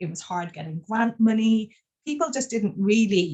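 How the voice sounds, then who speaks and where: A woman talks at a fairly quick pace with an Irish accent. Her voice is somewhat breathy, with ordinary pitch variation. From Ireland. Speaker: cannabinoid scientist, professor. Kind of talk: webinar interview. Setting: online webinar.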